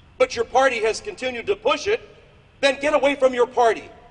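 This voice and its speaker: A man with an American accent and an extremely high pitch. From Western Pennsylvania. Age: 60s. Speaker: politician. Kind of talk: political speech.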